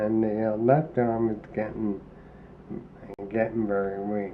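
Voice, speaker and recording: A man with a fairly low voice speaks in a flat monotone, and audible room echo surrounds him. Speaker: person living with ALS. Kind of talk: documentary interview. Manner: labored, slurred speech; halting, many fillers.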